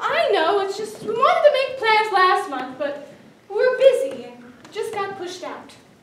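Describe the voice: A woman's put-on character voice, extremely high-pitched, with big pitch swings, a fairly bright tone and a fairly slow pace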